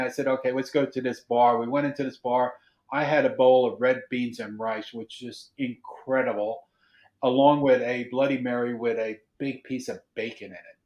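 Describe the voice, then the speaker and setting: At a moderate pace, a man with a medium pitch speaks with an Australian accent. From Australia, Melbourne. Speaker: podcast co-host. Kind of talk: casual chat.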